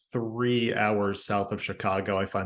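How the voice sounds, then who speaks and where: A man speaks with an American accent. His intonation is monotone and flat. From US Midwest, Indiana. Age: 30s. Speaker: podcast guest sharing personal story. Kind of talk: casual interview.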